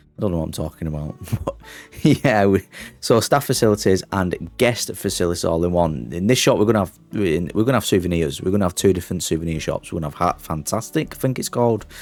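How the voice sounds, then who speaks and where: Music plays as a man with a Lancashire accent talks at a very fast pace. His pitch is very deep and low, and his intonation is lively. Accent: Oldham. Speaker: gaming YouTuber. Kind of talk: gameplay commentary. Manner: drops T sounds; casual, chatty.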